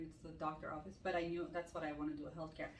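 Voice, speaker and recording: A woman's speech carries audible room echo along with noticeable background noise. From Armenian from Iran. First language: Armenian. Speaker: ICU nurse and med spa owner. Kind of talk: casual Q&A chat.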